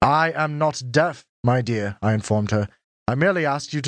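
An unforced reading voice over a quiet background

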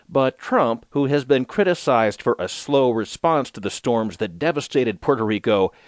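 A man with an unremarkable speaking voice talks at a moderate pace and medium pitch, his intonation lively, the sound dry and close with no echo over a quiet background. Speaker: audiobook narrator reading news digest. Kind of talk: news reading, steady and formal, scripted headlines and articles read aloud. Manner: formal; measured, even-paced, neutral.

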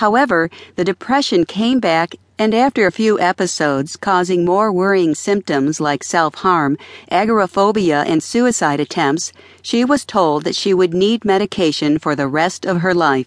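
In a plain, everyday voice, a woman with a medium pitch speaks at a moderate pace with lively intonation and very even loudness, in a dry, close recording with no echo and a quiet background. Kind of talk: audiobook narration. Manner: calm, even, measured reading.

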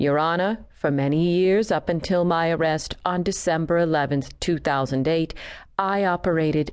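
Against a quiet background, a woman with a fairly low pitch and ordinary pitch variation speaks at a moderate pace in a plain, everyday voice. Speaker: audiobook narrator. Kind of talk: scripted courtroom narration, read aloud as a true-crime audiobook. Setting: studio. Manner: measured, solemn, formal.

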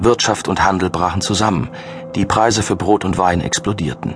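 A man's fairly low voice at a moderate pace over background music. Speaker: audiobook narrator. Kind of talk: dramatic audiobook narration of a thriller, read aloud from a script. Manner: grave, measured and ominous, building suspense with dark, vivid delivery.

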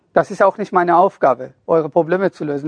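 The recording of this man is dry and close, with no echo. He talks at a high pitch and a fairly slow pace. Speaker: self-help author and narrator. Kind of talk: motivational pep talk to an audience. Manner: earnest, urging, direct address; emphatic, preachy.

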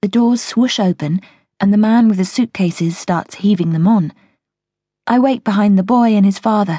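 A woman speaks in a dark, mellow tone that is somewhat breathy. Her pitch is medium, her pace moderate, and her pitch variation ordinary. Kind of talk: audiobook narration, first-person thriller told in present tense. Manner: tense, urgent, dramatic pacing as the narrator describes a bomb blast and panic.

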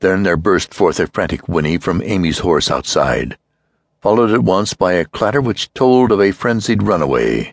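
Using a fairly low voice with vocal fry and lively intonation, a man speaks at a moderate pace and a very even loudness. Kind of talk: dramatic audiobook narration of a horror story. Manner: hushed, suspenseful, grave pacing building dread.

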